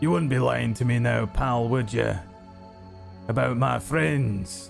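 Over clear background music, a man uses a put-on character voice, fairly low in pitch with very wide pitch swings, moving at a fairly slow pace. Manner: gruff, suspicious, menacing.

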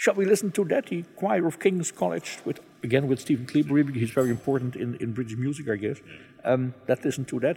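A man with a Dutch accent talks at a very fast pace in a medium pitch, his dark, mellow tone somewhat breathy and his intonation lively. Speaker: radio podcast host. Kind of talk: interview.

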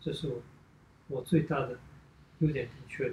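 A somewhat breathy man speaks with fairly even intonation. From China. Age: 30s. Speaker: ballet dancer. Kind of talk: casual chat. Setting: at home.

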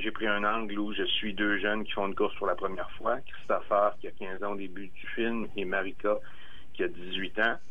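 A man is speaking. Room echo is audible. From Quebec, Bellechasse region (Armagh). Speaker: documentary filmmaker. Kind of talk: interview. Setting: phone call.

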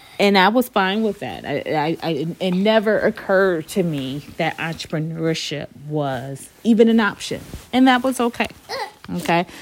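Through noticeable background noise, a woman speaks at a moderate pace and medium pitch with lively intonation. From Detroit, Michigan. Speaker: podcast host and business owner. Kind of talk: personal monologue. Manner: casual, conversational.

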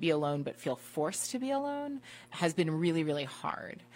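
A woman with a plain, everyday voice, fairly low in pitch, speaks at a moderate pace with lively intonation on a very clean recording with a silent background. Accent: American. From Washington DC. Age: 30s. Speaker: wine professional. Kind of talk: casual interview chat.

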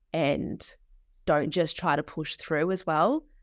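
In an Australian accent, the speaker talks at a fairly slow pace with monotone, flat intonation on a very clean recording with a silent background. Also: woman. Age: 20s. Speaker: social work student. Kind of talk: casual interview.

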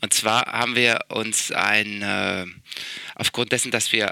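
Over noticeable background noise, a man with a fairly low pitch talks at a very slow pace in a dry, close sound with no echo. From Berlin, Germany. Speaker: investor and founder. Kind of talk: interview. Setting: office in a palace, remote call.

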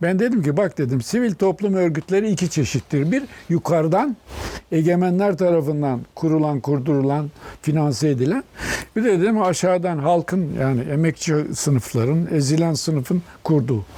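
Lively intonation rides on a dark, mellow tone at a moderate pace, with very even loudness. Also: man, fairly high pitch for a man. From Turkey, Denizli region (Aegean). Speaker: economist and publisher, author. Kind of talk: oral history interview. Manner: halting.

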